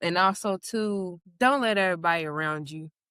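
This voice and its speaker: With a Southern US accent and ordinary pitch variation, a woman is heard in a very clean recording with a silent background and a dry, close sound with no echo. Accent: Southern US country accent, noticeable. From Kentucky, US South. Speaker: podcast guest. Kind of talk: casual chat.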